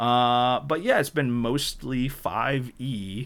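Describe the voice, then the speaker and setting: Recorded very cleanly against a silent background, a man with an American accent speaks at medium pitch. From northern New York. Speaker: podcast host. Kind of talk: casual chat.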